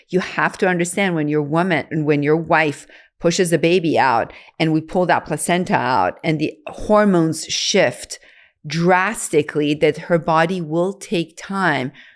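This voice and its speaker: At a fairly slow pace and fairly low pitch, a woman talks in a normal speaking voice with fairly even intonation. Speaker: OBGYN doctor. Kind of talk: podcast conversation.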